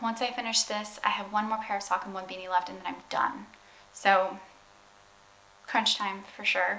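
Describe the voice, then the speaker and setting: A woman speaks at a moderate pace and medium pitch, with fairly even intonation, long, frequent pauses and big swings in loudness. Noticeable background noise and audible room echo fill the recording. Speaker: vlogger. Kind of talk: casual vlog talk.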